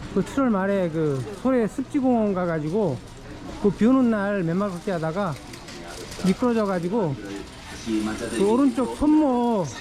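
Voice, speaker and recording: Long pauses come often, and the pace is fairly slow. Background noise is noticeable throughout. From Seoul (Hwagok-dong). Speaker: vlogger. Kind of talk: walking vlog monologue. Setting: outdoors, walking through a market. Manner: casual, with fillers.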